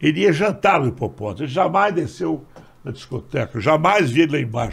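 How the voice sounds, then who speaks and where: Vocal fry runs through a man's fairly high-pitched voice. His intonation is lively and his pace moderate. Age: 80s+. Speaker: nightlife entrepreneur. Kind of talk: casual chat.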